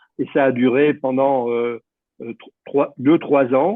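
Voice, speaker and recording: With a rather high voice, a man delivers his words very slowly. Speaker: former youth leader. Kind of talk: testimony.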